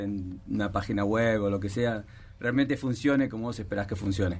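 This is a man with a plain, everyday voice. He talks at a moderate pace with ordinary pitch variation. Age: 50s. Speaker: tech sales executive. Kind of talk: interview.

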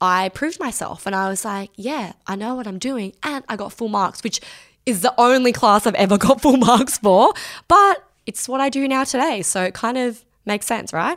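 Moving at a moderate pace with few pauses, a woman speaks at a fairly high pitch with lively intonation.

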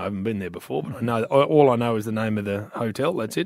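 A man talks very fast with an Australian accent. His pitch is medium, with ordinary variation. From Perth, Western Australia. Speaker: radio host. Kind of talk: casual chat.

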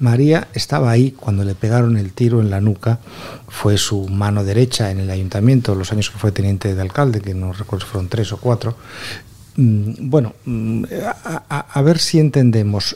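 An unremarkable speaking voice from a man, fairly low in pitch, with ordinary pitch variation and a moderate pace. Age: 50s. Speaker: journalist. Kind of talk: panel discussion.

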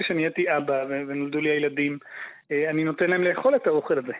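A man's fairly high voice at a moderate pace. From Israel, Haifa. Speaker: farmer. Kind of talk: interview. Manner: halting.

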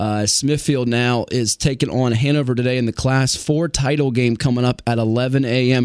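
A man with an unremarkable speaking voice at a medium pitch. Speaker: radio host. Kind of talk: live sports radio commentary, rattling off game scores. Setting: radio studio. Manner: brisk, upbeat play-by-play style, quick score updates.

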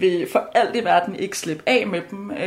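A woman's medium-pitched voice at a very slow pace. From Denmark. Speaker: law student. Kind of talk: casual chat. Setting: kitchen at home. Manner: halting.

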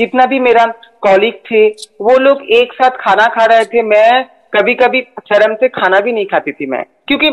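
An unremarkable speaking voice shows ordinary pitch variation. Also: woman, fairly high pitch for a woman. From Kolkata, West Bengal, India. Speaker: transgender judge and activist. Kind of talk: interview.

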